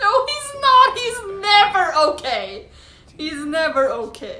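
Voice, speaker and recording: Amid noticeable background noise, a woman speaks very slowly in a raised, projected voice at an extremely high pitch, with very wide pitch swings. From Sweden. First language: Swedish. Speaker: YouTube reactor. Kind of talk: reaction video commentary. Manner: casual, filler-heavy.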